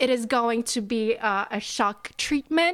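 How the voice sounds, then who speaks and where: A woman with a Polish accent speaks at a fairly high pitch and with lively intonation. The recording is very clean, with a silent background. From Poland. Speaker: podcast guest. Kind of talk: casual chat.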